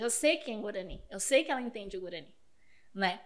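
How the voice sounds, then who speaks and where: At a very fast pace, a woman speaks in a fairly high pitch. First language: Spanish (speaking Portuguese). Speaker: teacher. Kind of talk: podcast interview.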